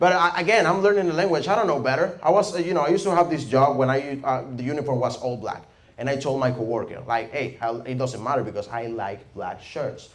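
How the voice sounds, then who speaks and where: A man with a Venezuelan accent talks at a very fast pace with hardly any pauses, at a fairly high pitch. His intonation is lively, and noticeable background noise can be heard. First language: Spanish. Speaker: stand-up comedian. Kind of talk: stand-up comedy set.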